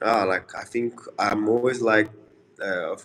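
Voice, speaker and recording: A man with a Portuguese accent speaks at a moderate pace. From Brazil. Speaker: MMA fighter. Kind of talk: interview. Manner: halting.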